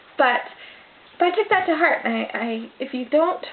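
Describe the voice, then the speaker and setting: A loud woman with lively intonation at a moderate pace, over noticeable background noise. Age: 20s. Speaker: vlogger. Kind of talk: casual vlog monologue. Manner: trying to speak louder.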